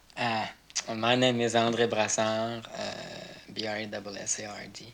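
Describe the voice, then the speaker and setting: In a Quebec accent, a man speaks at a fairly slow pace with medium pitch. His intonation is monotone and flat, while his loudness swings widely. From Quebec, Montreal. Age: 20s. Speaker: stage director. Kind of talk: interview. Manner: hesitant.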